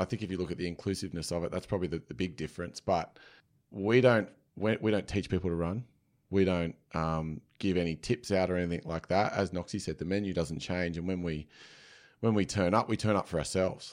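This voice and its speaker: In an Australian accent, a man speaks with a very deep, low pitch and fairly even intonation. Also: fairly quick pace, very clean recording, silent background. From Sydney, inner west. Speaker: run club founder. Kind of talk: casual interview.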